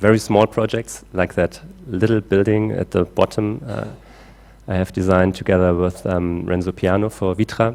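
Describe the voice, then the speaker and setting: A man speaks with a German accent at a very deep, low pitch. His pace is moderate and his intonation fairly even. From Germany. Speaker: climate engineer. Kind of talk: conference talk. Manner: halting with many fillers.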